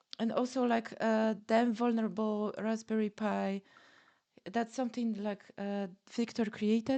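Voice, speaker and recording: A woman with a dark, mellow tone and fairly high pitch speaks at a moderate pace in a monotone, flat intonation. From Poland. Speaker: podcast host, penetration tester. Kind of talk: casual interview chat. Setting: livestream video call. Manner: hesitant, many fillers.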